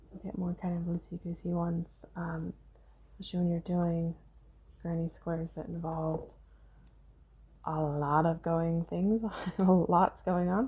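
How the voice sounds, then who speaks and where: A soft-spoken woman with a fairly low pitch speaks at a fairly slow pace, her tone relaxed and somewhat breathy. Her intonation stays monotone and flat, broken by long, frequent pauses. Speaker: crochet tutorial creator. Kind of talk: casual crochet tutorial talk to camera, rambling tips. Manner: soft-spoken, rambling, relaxed.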